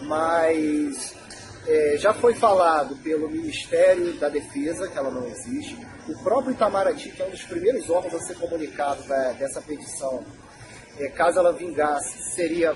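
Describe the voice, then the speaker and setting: Over noticeable background noise, a man with a high pitch talks at a moderate pace with very wide pitch swings. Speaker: association spokesperson. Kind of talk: association Q&A video. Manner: casual.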